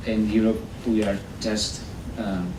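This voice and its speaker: The voice is monotone, with flat intonation. Audible room echo and noticeable background noise surround it. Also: man. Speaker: environmental policy advisor. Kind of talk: conference presentation. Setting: workshop with live audience. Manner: halting, many repetitions and fillers.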